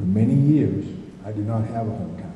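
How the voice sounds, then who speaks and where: Moderate-paced speech from a man, heard with audible room echo over noticeable background noise. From US East Coast. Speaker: city council candidate, retired Marine. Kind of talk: candidate opening statement. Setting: candidates forum in school with audience.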